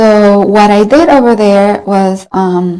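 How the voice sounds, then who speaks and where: A woman speaks with a Spanish accent at a medium pitch. Her tone is dark and mellow, with ordinary pitch variation. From Colombia. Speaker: graduate student and former intern. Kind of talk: interview. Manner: hesitant, many fillers.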